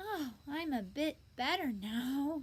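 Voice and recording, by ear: A woman puts on a character voice that is husky. Her pitch is high.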